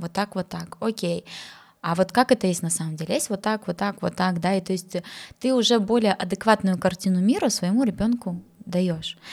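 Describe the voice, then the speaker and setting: A woman talks at a moderate pace in a normal speaking voice, pitched in the medium range. Her pitch varies in an ordinary way, and the recording is very clean with a silent background. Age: 30s. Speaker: psychologist and sexologist, podcast host. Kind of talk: casual chat.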